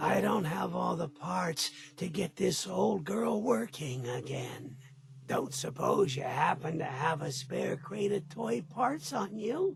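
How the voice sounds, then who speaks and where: A man's raspy, put-on character voice, fairly high in pitch and fairly slow in pace, over clear background noise. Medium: video game. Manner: chipper, old-fashioned.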